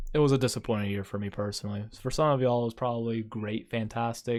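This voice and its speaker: A man's monotone, flat voice at a very fast pace, on a very clean recording with a silent background. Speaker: YouTuber. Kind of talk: personal vlog monologue. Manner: quieter than usual.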